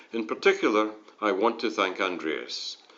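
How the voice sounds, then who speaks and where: Audible room echo surrounds this recording. A man speaks at a moderate pace. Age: 60s. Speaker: retired software engineer. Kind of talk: conference presentation. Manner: formal.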